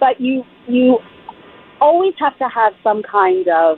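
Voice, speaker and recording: A woman's pitch swings very widely while noticeable background noise sits behind her. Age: 60s. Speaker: columnist and immigration attorney. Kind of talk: radio interview. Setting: phone call from the street. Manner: animated.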